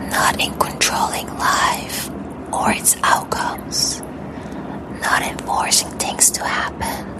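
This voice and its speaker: Whispering at a very slow pace comes through noticeable background noise. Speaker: mindset and personal growth content creator. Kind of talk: soft-spoken ASMR guided reflection. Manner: soft-spoken, slow, calming.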